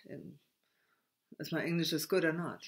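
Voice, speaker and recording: A woman's voice with a German accent. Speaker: spiritual video blogger. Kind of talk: spiritual monologue. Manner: halting, stammering; many hesitations and repetitions.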